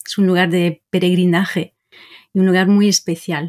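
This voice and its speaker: Recorded with a dry, close sound and no echo, a woman speaks. She has a medium pitch and a French accent. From Brittany, France. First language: French (speaking Spanish). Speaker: language teacher. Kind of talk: interview.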